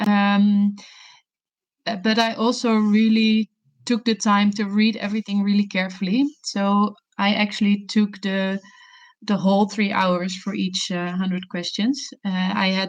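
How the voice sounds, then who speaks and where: Somewhat breathy, a woman with a medium pitch speaks in a Dutch accent at a fairly slow pace with a monotone, flat intonation. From Netherlands. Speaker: session chair, gastroenterology trainee. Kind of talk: panel discussion.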